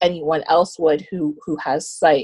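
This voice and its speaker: A woman with a Canadian accent and a normal speaking voice talks at a moderate pace and a fairly low pitch, in a dry, close sound with no echo. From Canada, Ontario (Scarborough). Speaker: visually impaired guest, social service worker. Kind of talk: interview.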